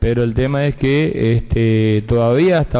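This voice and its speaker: Medium-pitched male voice against noticeable background noise. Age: 50s. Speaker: provincial senator. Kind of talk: legislative floor speech. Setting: senate chamber session.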